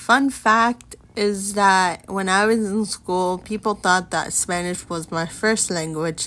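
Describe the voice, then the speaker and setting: At a very slow pace, a woman speaks in a medium-pitched voice with a bright, sharp tone. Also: fairly even intonation. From United States. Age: 20s. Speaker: podcast host. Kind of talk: casual personal podcast monologue.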